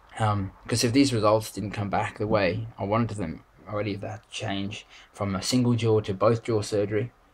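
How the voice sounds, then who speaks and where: A man with an Australian accent speaks at a moderate pace in a fairly low, somewhat breathy voice. His intonation is monotone and flat, while his loudness swings widely. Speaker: vlogger. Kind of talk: video diary. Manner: halting, many fillers.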